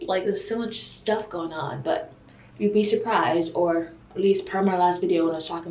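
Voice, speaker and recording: Audible room echo surrounds a woman's voice. She speaks at a moderate pace with ordinary pitch variation. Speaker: vlogger. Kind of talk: casual vlog chat. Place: bathroom. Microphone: phone near.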